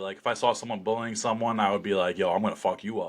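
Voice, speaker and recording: In an American accent, the speaker keeps a fairly even intonation over a quiet background. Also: man. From New Jersey, US. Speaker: slap fighter. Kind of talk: podcast interview, casual chat. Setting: in-person podcast studio. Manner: loud; many fillers and restarts.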